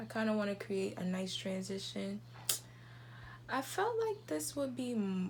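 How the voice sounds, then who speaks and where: Noticeable background noise runs behind a woman's voice. She is soft-spoken and talks at a fairly slow pace. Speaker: beauty YouTuber. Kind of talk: makeup tutorial.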